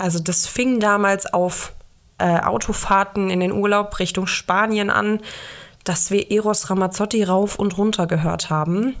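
Using a normal speaking voice, a woman of medium pitch talks at a fairly slow pace with fairly even intonation and very even loudness. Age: 20s. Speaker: singer-songwriter podcast host. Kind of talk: solo podcast monologue.

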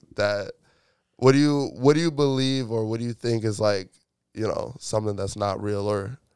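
An unremarkable speaking voice from a man at medium pitch, ordinary pitch variation, on a very clean recording with a silent background. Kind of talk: casual chat.

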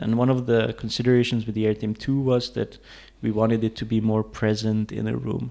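A dark, mellow tone at a fairly quick pace with monotone, flat intonation. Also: man. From Hungary, Budapest, then Denmark from age 12-13. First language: Hungarian. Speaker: tech startup co-founder and CTO. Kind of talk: interview conversation. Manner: hesitant, many fillers.

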